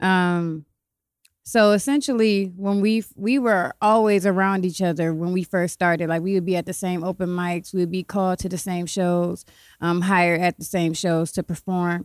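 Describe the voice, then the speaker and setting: In an ordinary speaking voice of medium pitch, a woman with an American accent talks at a moderate pace with fairly even intonation, the sound dry and close with no echo on a very clean recording with a silent background. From Ohio, Columbus and Cleveland. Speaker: poet and author. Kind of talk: casual chat.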